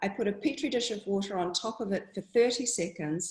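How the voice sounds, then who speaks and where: Using lively intonation, a woman with a New Zealand accent talks at a moderate pace and a medium pitch. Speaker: water researcher. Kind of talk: talk to an audience.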